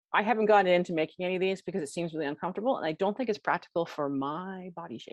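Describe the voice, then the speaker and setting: A woman at a medium pitch speaks at a very fast pace with hardly any pauses, ordinary pitch variation and big swings in loudness. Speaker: class teacher on historical clothing. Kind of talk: lecture. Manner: casual.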